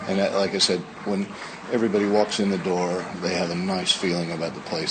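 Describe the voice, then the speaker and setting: Very deep, low pitch from a man with an American accent, over noticeable background noise. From United States. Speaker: pub landlord. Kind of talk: interview. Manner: hesitant, many fillers.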